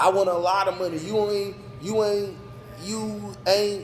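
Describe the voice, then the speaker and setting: Over noticeable background noise, a man speaks loudly and fairly slowly at a high pitch. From North Carolina (New Bern). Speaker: business owner. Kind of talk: casual interview. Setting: sports bar.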